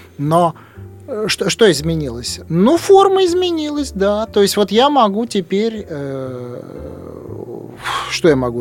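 A man talks fairly slowly while noticeable noise carries on in the background. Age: 50s. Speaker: writer. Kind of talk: radio interview. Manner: halting.

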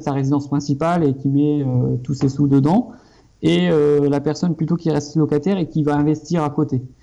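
Noticeable background noise is present. The intonation stays fairly even at a moderate pace. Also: man. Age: 30s. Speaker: architect and property investor. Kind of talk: casual interview. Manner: hesitant, many fillers.

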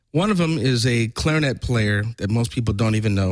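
Here is a normal speaking voice with an American accent and lively intonation. The recording is very clean, with a silent background. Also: man. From Orange County, California. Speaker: trombonist. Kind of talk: casual interview chat. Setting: studio.

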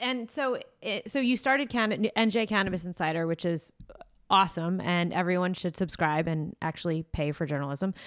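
With an American accent and a normal speaking voice, a woman talks at a medium pitch and moderate pace with lively intonation on a very clean recording with a silent background. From New Jersey. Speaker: podcast host. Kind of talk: interview.

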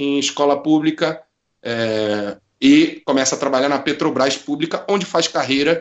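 A man talks in an unremarkable speaking voice with ordinary pitch variation. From Rio de Janeiro, Brazil. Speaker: football supporter and writer. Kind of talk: casual chat.

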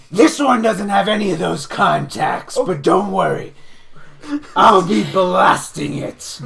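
A raspy, put-on character voice at a middle pitch moves along at a fairly slow pace. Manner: formal third-person speech, warm and enthusiastic.

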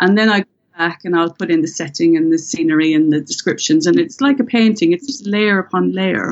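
A woman's fairly quick delivery with lively intonation. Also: medium pitch for a woman. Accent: Irish. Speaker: thriller author, former police detective. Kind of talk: interview.

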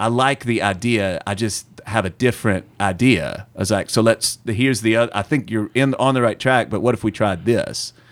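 Here is a man with a strong Southern US accent. The recording is very clean, and the background is silent. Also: medium pitch for a man, moderate pace, hardly any pauses. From US South. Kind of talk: casual interview chat.

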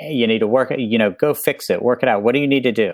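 With an American accent, a man talks at a fairly quick pace in an unremarkable speaking voice, medium in pitch with ordinary pitch variation. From US South, West Virginia. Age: 50s. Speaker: author and professor. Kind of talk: casual chat.

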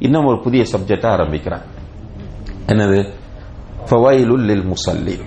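The voice shows ordinary pitch variation, with audible room echo. Noticeable background noise runs underneath. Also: man, medium pitch for a man. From Sri Lanka. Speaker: Islamic teacher. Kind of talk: lecture.

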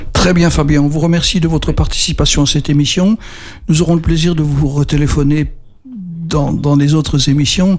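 A man with a fairly high pitch talks at a moderate pace, his loudness very even and his intonation fairly even. Noticeable background noise sits behind him. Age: 70s. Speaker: radio co-host living with Parkinson's. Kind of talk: radio talk show.

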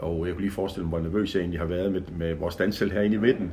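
With audible room echo around him, a man talks in a very deep, low voice with fairly even intonation. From Denmark, Horsens (East Jutland). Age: 60s. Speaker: event organizer. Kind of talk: personal reminiscence, casual chat. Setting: home visit interview. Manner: hesitant, many fillers.

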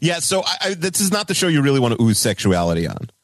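Talking at a very fast pace, a man shows vocal fry and very wide pitch swings. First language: not English. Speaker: podcast guest. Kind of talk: casual chat.

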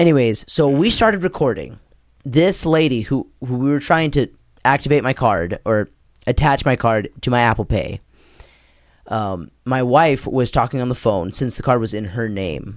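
With a normal speaking voice, a man talks at a moderate pace and medium pitch, his intonation lively. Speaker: podcast host. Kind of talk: casual chat.

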